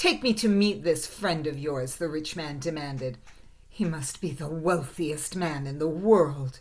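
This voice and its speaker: A woman's gruff, put-on character voice, very deep and low in pitch, with ordinary pitch variation at a moderate pace. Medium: read story. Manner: gruff, domineering.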